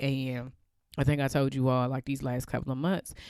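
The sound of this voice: On a very clean recording with a silent background, a woman speaks at an extremely low pitch in a slightly mellow tone.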